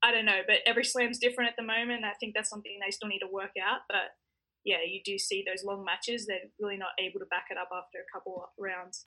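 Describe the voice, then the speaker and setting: A woman with an Australian accent talks at a very fast pace. Her medium pitch stays fairly even in intonation. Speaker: professional tennis player. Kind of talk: interview. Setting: hotel quarantine room.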